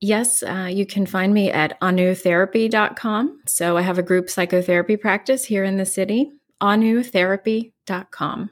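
A plain, everyday voice from a woman with an American accent, ordinary pitch variation, a moderate pace and hardly any pauses, on a very clean recording with a silent background. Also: medium pitch for a woman. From West Virginia. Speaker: psychotherapist. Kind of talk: interview.

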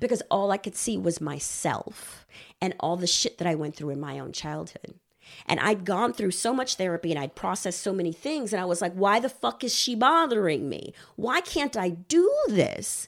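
Using an American accent, a woman speaks at medium pitch and a moderate pace, her pitch swinging very widely and her voice showing vocal fry. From Texas. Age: 40s. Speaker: marriage and family therapist. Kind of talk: casual chat.

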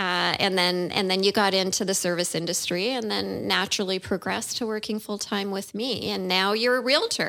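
Over a very clean recording with a silent background, a woman at a medium pitch talks at a fairly quick pace, her tone bright and sharp and her intonation fairly even. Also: hardly any pauses. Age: 50s. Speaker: podcast co-host, real estate agent. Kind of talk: casual chat.

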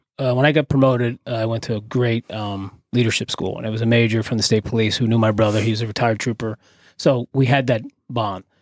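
A man in a New Jersey accent at a very fast pace, fairly even intonation, dry, close sound with no echo, and a very clean recording with a silent background. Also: medium pitch for a man. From New Jersey (Carteret), Puerto Rican family. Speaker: retired police SWAT leader and tactical trainer. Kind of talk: casual interview chat. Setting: studio.

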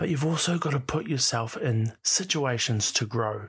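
On a very clean recording with a silent background, a man with an Australian accent speaks at a moderate pace in a somewhat breathy voice. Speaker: radio host and podcaster. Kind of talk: motivational monologue. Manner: casual, conversational.

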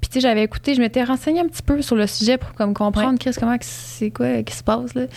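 Amid noticeable background noise, a woman speaks at a very fast pace with hardly any pauses. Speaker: podcast host. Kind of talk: casual chat; sponsor read.

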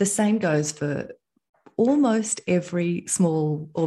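A somewhat breathy woman in an Australian accent, dark and mellow in tone, with ordinary pitch variation over a quiet background. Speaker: entrepreneur. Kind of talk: interview.

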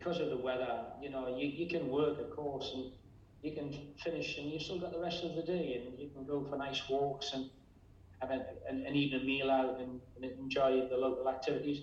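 A man with an English accent talks at a fairly quick pace in a fairly high pitch, his intonation monotone and flat. Audible room echo and noticeable background noise surround him. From England. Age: 60s. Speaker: real estate agency owner. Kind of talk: interview.

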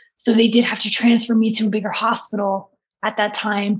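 A woman with a fairly high pitch speaks in a somewhat breathy voice with monotone, flat intonation. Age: 30s. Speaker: author and abuse survivor. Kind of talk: casual chat. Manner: pushed, effortful delivery.

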